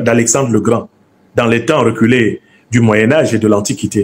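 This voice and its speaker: In a Cameroonian accent, a man talks at a moderate pace. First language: Bassa (speaking French). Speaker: professor and political commentator. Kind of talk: lecture to an audience. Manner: didactic, emphatic.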